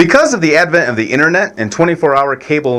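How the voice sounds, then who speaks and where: A man with a fairly high pitch talks at a very fast pace. Noticeable background noise runs behind him. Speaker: president of a syndicated radio media company. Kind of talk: radio syndication sales pitch.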